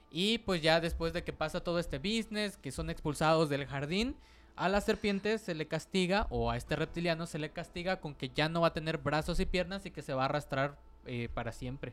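On a very clean recording with a silent background, a man with a Mexican accent speaks at a fairly quick pace and a fairly high pitch, with ordinary pitch variation. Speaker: podcast co-host. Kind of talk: casual chat.

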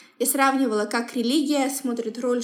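A high-pitched woman's voice with ordinary pitch variation and audible room echo. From Kazakhstan, Semey. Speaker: human rights professional. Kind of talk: interview. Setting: podcast recording.

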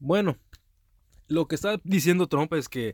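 A man speaks with ordinary pitch variation. The sound is dry and close with no echo, in a very clean recording with a silent background. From US, Texas. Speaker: correspondent. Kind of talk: commentary.

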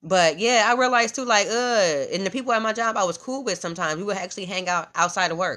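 Speaking very fast against a quiet background, a woman has a bright, sharp, animated tone and ordinary pitch variation. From US Midwest, Omaha, Nebraska. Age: 30s. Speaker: podcast host, comedian and wellness coach. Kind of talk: casual monologue. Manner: animated, laughing often.

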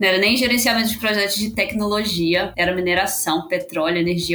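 A woman with a Minas Gerais accent talks at a fairly quick pace in a medium pitch, her intonation fairly even, over noticeable background noise. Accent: mineiro accent, noticeable. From Belo Horizonte, Minas Gerais, Brazil. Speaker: product manager. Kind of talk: podcast interview.

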